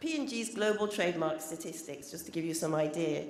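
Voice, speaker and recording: A British accent with audible room echo. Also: woman. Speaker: corporate trademark specialist. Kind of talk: conference presentation. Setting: conference stage with audience.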